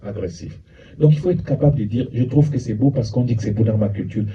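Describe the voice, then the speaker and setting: Audible room echo surrounds a man who talks with lively intonation. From France (Paris), Cameroonian family. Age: 60s. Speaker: psychologist and lecturer. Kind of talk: lecture.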